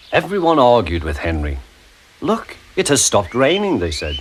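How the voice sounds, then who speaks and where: Against noticeable background noise, a man at medium pitch makes very wide pitch swings. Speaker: narrator. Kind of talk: children's story narration.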